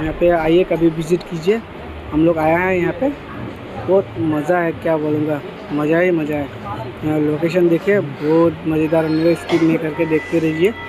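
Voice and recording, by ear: Over clear background noise, a man with a fairly high pitch speaks at a moderate pace with little pitch movement.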